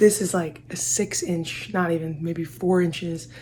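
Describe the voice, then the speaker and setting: Over noticeable background noise, a woman speaks quietly with fairly even intonation. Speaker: basketball trainer vlogger. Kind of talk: vlog tutorial. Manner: casual.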